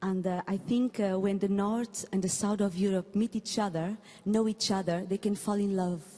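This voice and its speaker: In a Portuguese accent, a woman talks at a moderate pace and medium pitch, her tone dark, mellow and somewhat breathy, her intonation monotone and flat. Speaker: folk musician. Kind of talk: brief introduction on stage. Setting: stage at ceremony with audience. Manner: halting.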